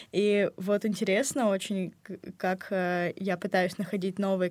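On a very clean recording with a silent background, a woman with an ordinary speaking voice talks with fairly even intonation. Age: young. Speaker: university student. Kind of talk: casual chat. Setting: studio.

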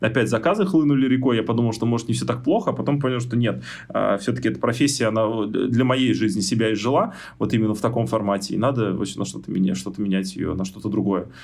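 The voice carries vocal fry and ordinary pitch variation at a very fast pace. Audible room echo is present. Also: man, medium pitch for a man. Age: 30s. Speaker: software tester. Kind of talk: interview. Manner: animated.

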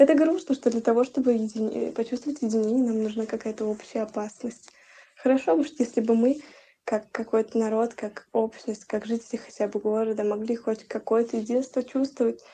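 A woman talks at a fairly quick pace with a dark, mellow tone. Her fairly high pitch follows a fairly even intonation. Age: 20s. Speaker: university student, archaeologist. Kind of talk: interview testimony.

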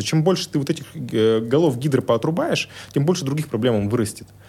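This man's delivery comes very fast. The intonation rises and falls in a lively way. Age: 30s. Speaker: tech entrepreneur. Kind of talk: interview conversation.

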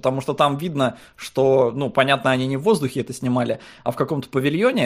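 A man's fairly high-pitched voice, a normal speaking voice, at a fairly quick pace with ordinary pitch variation. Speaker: podcast co-host. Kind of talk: casual chat.

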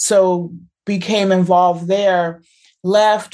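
A plain, everyday voice with an American accent and ordinary pitch variation. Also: woman. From US. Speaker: professor. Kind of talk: interview.

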